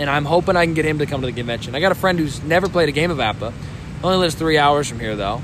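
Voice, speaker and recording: A man talks at a very fast pace, his pitch fairly high. Noticeable background noise runs behind him. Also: ordinary pitch variation. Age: 20s. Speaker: tabletop baseball game player. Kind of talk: casual chat. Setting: at a convention.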